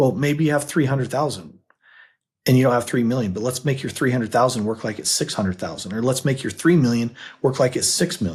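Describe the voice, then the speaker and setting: A somewhat breathy man talks at a very fast pace and a medium pitch, with ordinary pitch variation. The recording is very clean, with a silent background. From US, Utah. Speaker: financial advisor and podcast co-host. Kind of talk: casual chat.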